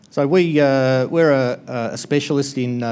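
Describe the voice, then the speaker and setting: The speaker is a man with an Australian accent. He keeps a moderate pace. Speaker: conference presenter, network equipment distributor. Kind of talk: conference talk. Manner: hesitant, many filler words.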